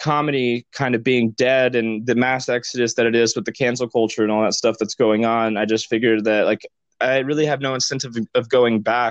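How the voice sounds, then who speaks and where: A man with a normal speaking voice talks at medium pitch and a fairly quick pace. The background is quiet. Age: 20s. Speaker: writer. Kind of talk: casual conversation.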